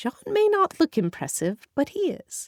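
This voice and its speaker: A woman uses a squeaky, put-on character voice at an extremely high pitch, in a dry, close sound with no echo. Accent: British. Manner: sardonic.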